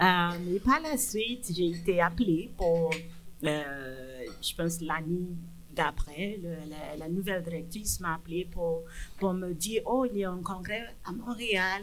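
Speaking at a very slow pace, a woman uses a fairly low pitch with ordinary pitch variation. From Nigeria. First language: English (speaking French). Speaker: public health physician. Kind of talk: interview. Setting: bar with live audience.

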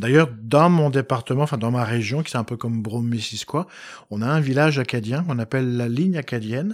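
On a very clean recording with a silent background, a man speaks in a normal speaking voice at medium pitch, fairly quick pace and ordinary pitch variation. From France, Poitou (Poitiers). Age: 50s. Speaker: historian. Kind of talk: interview. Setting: home of the host.

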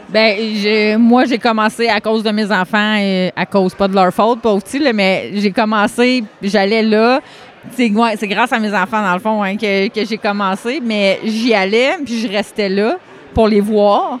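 A woman speaks at a very slow pace and a fairly high pitch. Her intonation is fairly even, with noticeable background noise. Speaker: karate school owner and competitor. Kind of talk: casual interview chat. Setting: at world championships in Ireland.

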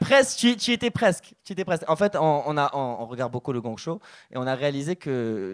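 A man's animated, fairly high voice on a very clean recording with a silent background. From Morocco. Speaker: stand-up comedian. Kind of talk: stand-up. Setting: stage with audience.

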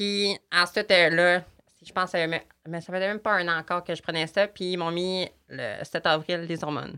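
A woman with a Saguenay–Lac-Saint-Jean accent speaks at a moderate pace and a fairly low pitch, in a bright, sharp tone with monotone, flat intonation. Her loudness swings widely on a very clean recording with a silent background. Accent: Quebec French, Saguenay–Lac-Saint-Jean. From Quebec, Lac-Saint-Jean. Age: 18. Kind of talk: casual interview.

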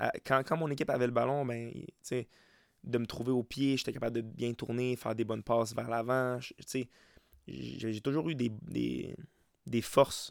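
In a Quebec accent, a man speaks at a fairly slow pace with medium pitch and fairly even intonation. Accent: Québécois French. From Quebec, Montérégie (Saint-Mathias-sur-Richelieu). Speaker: soccer coach and podcast host. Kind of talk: solo podcast monologue. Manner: halting, many repetitions and fillers.

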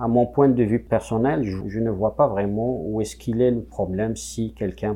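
A man with an Algerian accent speaks at a fairly slow pace with a fairly low pitch and lively intonation. His tone is dark and mellow and somewhat breathy. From Kabylie, Algeria. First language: Kabyle (speaking French). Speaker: musician. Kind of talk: interview testimony. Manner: halting.

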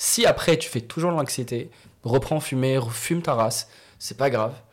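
With ordinary pitch variation around a medium pitch, a man talks in a somewhat breathy voice. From Morocco. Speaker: comedian. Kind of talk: casual chat.

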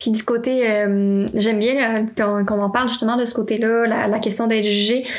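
Over noticeable background noise, a woman speaks at a moderate pace with hardly any pauses and very even loudness. Her fairly high voice stays monotone, with flat intonation. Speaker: podcast host. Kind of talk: interview.

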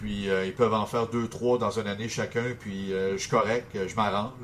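A man speaks at a moderate pace in a normal speaking voice. His pitch is fairly low and his intonation fairly even. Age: 30s. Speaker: sports radio morning host. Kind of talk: interview.

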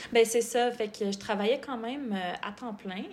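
Using a normal speaking voice, a woman talks at a moderate pace with fairly even intonation. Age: 30s. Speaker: medical student, former nutritionist. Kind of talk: podcast interview.

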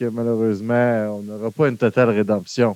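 A man with a Quebec accent speaks in a dry, close sound with no echo. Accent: Québécois French. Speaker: film podcast host. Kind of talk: casual chat. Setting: live stream.

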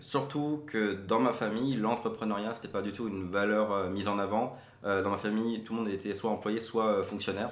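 A man's fairly low voice in a room with audible echo. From Quebec (Saint-Paulin, Mauricie), teen years in France. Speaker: marketing entrepreneur and consultant. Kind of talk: interview.

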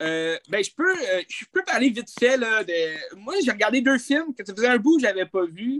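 Speaking with a Quebec accent at a moderate pace, a man with an extremely high voice swings his pitch very widely, hardly pauses, and sounds dry and close with no echo. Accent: Québécois French. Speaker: film podcast co-host. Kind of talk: casual chat.

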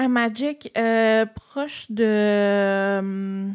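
Her pitch fairly high, a woman talks in a flat, monotone way on a very clean recording with a silent background. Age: 20s. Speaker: travel agency owner. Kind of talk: casual chat.

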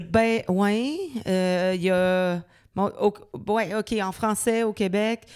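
A woman speaks at a very slow pace with medium pitch and ordinary pitch variation. The recording is very clean, with a silent background. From Quebec City suburbs (Loretteville). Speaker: singer-songwriter. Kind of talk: interview. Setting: dance studio.

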